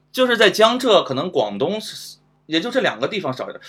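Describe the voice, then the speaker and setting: A man's voice is high-pitched and his pitch swings very widely. He talks at a fairly quick pace. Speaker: guest. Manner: halting, repeats words.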